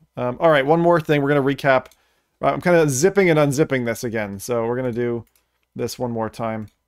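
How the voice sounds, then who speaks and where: Over a quiet background, a man's fairly quick speech carries ordinary pitch variation. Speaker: streamer reacting to trailers. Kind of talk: casual reaction commentary. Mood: relaxed, sometimes annoyed. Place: home room. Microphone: studio mic.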